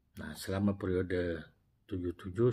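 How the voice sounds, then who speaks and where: Somewhat breathy male speech. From Indonesia. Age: 60s. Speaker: retired prosecutor and former regional legislator telling life story. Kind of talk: personal storytelling vlog. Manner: halting with self-corrections. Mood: warm, reflective. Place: office. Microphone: lapel.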